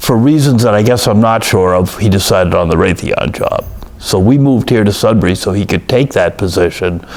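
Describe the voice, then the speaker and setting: A man with a fairly low pitch talks at very even loudness and ordinary pitch variation, against noticeable background noise. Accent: American. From Massachusetts, Boston suburbs. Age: 60s. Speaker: oral history interviewee. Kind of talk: oral history interview. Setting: office. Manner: hesitant, many fillers.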